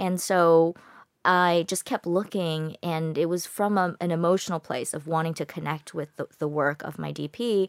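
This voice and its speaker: In a very clean recording with a silent background and a dry, close sound with no echo, a woman with a plain, everyday voice speaks at a fairly low pitch and moderate pace with fairly even intonation. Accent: American. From United States. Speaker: film director. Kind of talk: interview. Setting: studio.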